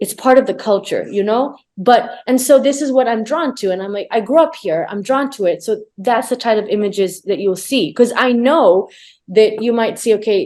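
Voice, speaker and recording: With a dark, mellow tone, the woman talks at a moderate pace. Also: fairly high pitch for a woman, lively intonation. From Tanzania, Arusha. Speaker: conservation photographer. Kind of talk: casual chat.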